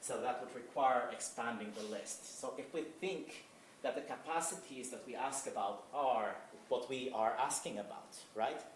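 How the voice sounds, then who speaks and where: Over noticeable background noise and audible room echo, a man speaks at a moderate pace with a medium pitch and ordinary pitch variation. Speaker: philosopher. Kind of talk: academic conference talk. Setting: conference presentation. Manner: halting, self-correcting; many fillers.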